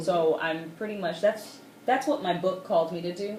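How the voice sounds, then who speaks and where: A woman talks at a fairly quick pace as noticeable background noise continues behind her. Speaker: author, videographer, and editor. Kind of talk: radio interview answer. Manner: fluent, articulate.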